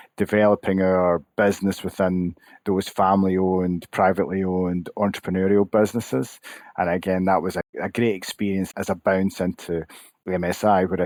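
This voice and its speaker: Against a silent background in a very clean recording, a man with a Scottish accent and a very deep, low pitch speaks with monotone, flat intonation in a dry, close sound with no echo. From Scotland, Glasgow. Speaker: association CEO, former accountant. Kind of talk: podcast interview.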